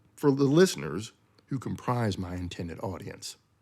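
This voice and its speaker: Using an unremarkable speaking voice, a man keeps a moderate pace and lively intonation. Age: 60s. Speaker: podcast host. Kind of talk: scripted monologue. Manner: formal.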